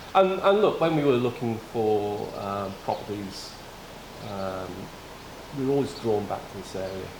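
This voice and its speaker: Amid noticeable background noise and audible room echo, a man with a British accent speaks fairly slowly in a fairly low pitch, with ordinary pitch variation and long, frequent pauses. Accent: non-local UK. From Wales, city-raised. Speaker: former police officer, volunteer firefighter. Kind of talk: casual interview.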